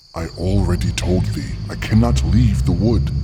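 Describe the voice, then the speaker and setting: Over faint background music, a man does a put-on character voice with a very deep, low pitch at a moderate pace. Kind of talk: archaic formal speech. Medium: audio drama. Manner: grave, formal.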